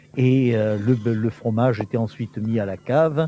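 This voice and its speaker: Music plays in the background. The speaker talks at a very slow pace. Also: man. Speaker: teacher and historian. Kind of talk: interview answer. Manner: explanatory, hesitant with fillers.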